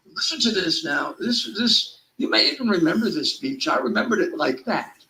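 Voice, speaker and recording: Raising and projecting his voice, a man speaks at high pitch with very wide pitch swings. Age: 70s. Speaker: political talk show host. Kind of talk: casual political talk show banter. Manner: animated.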